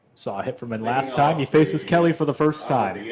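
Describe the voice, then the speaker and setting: Fairly high-pitched man's voice with vocal fry and lively intonation. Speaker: play-by-play broadcaster. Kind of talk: live baseball play-by-play call. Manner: energetic.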